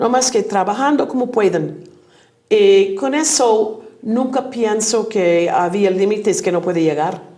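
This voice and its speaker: Audible room echo surrounds a woman who speaks fairly slowly with a fairly high pitch and ordinary pitch variation. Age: 70s. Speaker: teacher. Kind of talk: interview.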